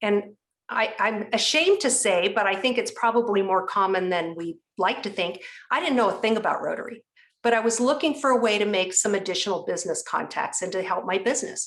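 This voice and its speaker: Speaking at a fairly quick pace, a woman uses a fairly high pitch. Her pitch variation is ordinary. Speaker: rotary leader and speaker. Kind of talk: interview. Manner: fast.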